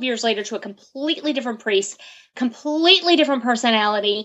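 A woman with a high-pitched voice speaks with ordinary pitch variation. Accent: Virginia. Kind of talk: interview.

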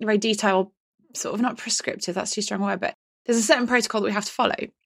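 A woman with an English accent, fairly high in pitch, at a very fast pace. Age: 40s. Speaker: dyslexia consultant. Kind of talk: casual chat. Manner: animated.

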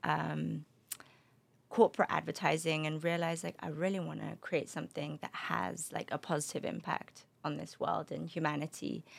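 A woman with a London accent, at a moderate pace. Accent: British (London). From London, England (also Spain). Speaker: beverage company founder. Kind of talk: interview. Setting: studio.

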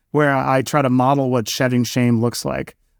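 Here is a man with an American accent and a normal speaking voice at medium pitch. He talks at a fairly quick pace on a very clean recording with a silent background. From New York City (Queens). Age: 40s. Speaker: entrepreneur and author. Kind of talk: interview.

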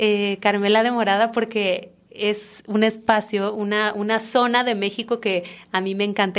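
A woman speaks at a fairly slow pace with hardly any pauses. Her intonation is monotone and flat. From Mexico, Tabasco (Comalcalco). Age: 30s. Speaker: chef and restaurant owner. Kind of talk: interview conversation.

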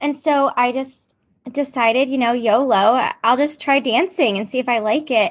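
Here a woman speaks in a high pitch at a moderate pace. Her pitch varies normally, and the background is quiet. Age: 20s. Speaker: adult entertainer and former program participant. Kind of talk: casual interview chat.

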